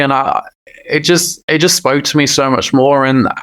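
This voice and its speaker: A man at a fairly quick pace and fairly high pitch, with noticeable background noise. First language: Punjabi. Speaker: singer-songwriter. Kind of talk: interview. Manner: halting, frequent repetitions.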